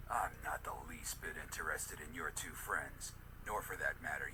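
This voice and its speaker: Over loud background noise, a man puts on a cartoonish character voice at a moderate pace. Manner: gruff, blunt, menacing.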